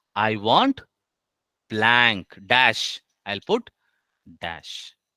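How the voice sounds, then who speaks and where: Very slowly and in a bright, sharp tone, a man with an Indian accent speaks at medium pitch with ordinary pitch variation, in a dry, close sound with no echo. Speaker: HR trainer. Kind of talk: online class tutorial. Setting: online session with screen share.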